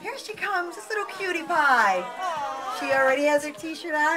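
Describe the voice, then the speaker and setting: Over clear background music, a woman uses a raised, projected voice, her high pitch swinging very widely. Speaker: radio host / emcee. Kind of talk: live radio promo emcee, prize giveaway at a movie premiere. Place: shop. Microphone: pa.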